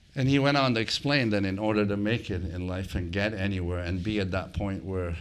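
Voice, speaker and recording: The room echo is audible as a man speaks. His pace is moderate. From immigrated to Canada at 15. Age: 60s. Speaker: hospitality entrepreneur. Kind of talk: live interview.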